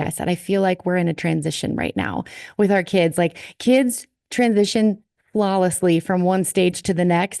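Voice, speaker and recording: With a slight Minnesotan accent, a woman speaks at medium pitch in a dark, mellow tone with ordinary pitch variation, the sound dry and close with no echo and the background quiet. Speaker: worship leader. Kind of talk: casual chat.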